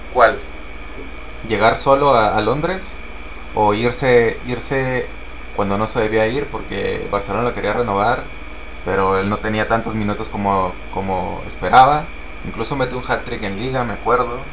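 Through audible room echo and noticeable background noise, a man speaks at a moderate pace and medium pitch with ordinary pitch variation and long, frequent pauses. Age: 30s. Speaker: football podcast co-host. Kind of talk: casual chat. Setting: live stream.

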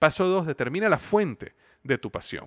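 A man talks at a moderate pace. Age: 30s. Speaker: podcast host and business coach. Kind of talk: motivational monologue. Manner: conversational with filler words.

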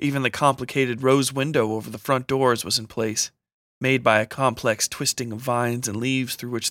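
Over a quiet background, someone is reading aloud in a natural voice with fairly even intonation.

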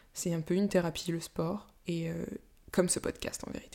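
This woman's voice sits at a fairly low pitch. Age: 20s. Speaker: podcaster. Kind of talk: solo monologue. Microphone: new microphone.

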